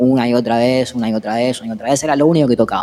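A man speaks very fast in a Rioplatense accent. His pitch sits in the medium range and varies in an ordinary way. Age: 30s. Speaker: musician. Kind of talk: interview.

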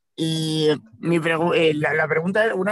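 Speaking at a fairly slow pace, a man with a normal speaking voice has a fairly high pitch and ordinary pitch variation. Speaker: podcast co-host. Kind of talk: interview. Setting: in a car.

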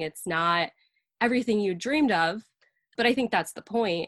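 A woman's normal speaking voice at medium pitch and moderate pace, with lively intonation, dry and close with no echo, over a quiet background. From upstate New York. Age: 20s. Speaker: graphic designer and illustrator. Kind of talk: casual chat.

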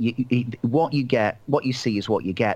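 With a Mancunian accent, a man speaks at medium pitch. His intonation is lively. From Manchester, England. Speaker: motivational author and trainer. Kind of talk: casual interview.

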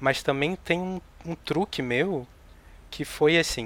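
A man talks at a fairly slow pace in a normal speaking voice. The recording is very clean and silent in the background, with a dry, close sound and no echo. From Rio de Janeiro, Brazil. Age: 40s. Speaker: novelist. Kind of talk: casual chat.

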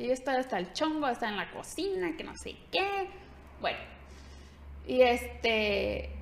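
With noticeable background noise, a woman speaks at a fairly slow pace, leaving long, frequent pauses as her loudness swings widely. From Mexico, Ciudad Guzmán, Jalisco. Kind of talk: casual interview.

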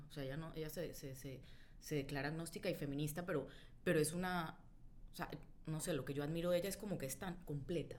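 Talking at a very fast pace but with long, frequent pauses, a woman speaks at a very deep, low pitch with fairly even intonation and audible room echo. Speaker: journalist and writer. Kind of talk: casual chat about a book.

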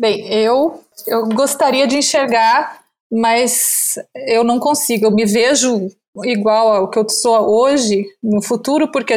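A woman speaks very slowly at a fairly high pitch, her intonation fairly even and her loudness very even, in a very clean recording with a silent background. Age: 50s. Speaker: content creator. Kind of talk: casual chat.

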